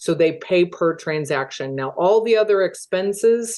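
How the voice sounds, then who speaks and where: Her pitch rises and falls in an ordinary way. The woman talks at a fairly slow pace. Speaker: real estate team owner. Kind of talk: webinar presentation.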